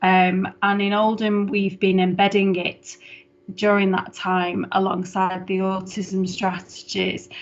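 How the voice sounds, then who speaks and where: Music plays in the background as a woman talks. Her voice has a medium pitch and monotone, flat intonation. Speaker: head of council adult social care service. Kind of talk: formal report presentation at council meeting. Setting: online video meeting. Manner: fast.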